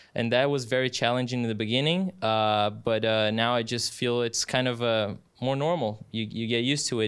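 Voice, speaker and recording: A man's medium-pitched voice with a Brazilian Portuguese accent at a fairly quick pace. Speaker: sports announcer. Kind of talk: casual interview. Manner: halting, many fillers; animated.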